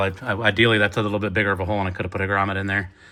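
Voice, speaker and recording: The man's fairly low voice has a bright, sharp tone and monotone, flat intonation. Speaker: car DIY vlogger. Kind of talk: tutorial. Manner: halting, many fillers; casual.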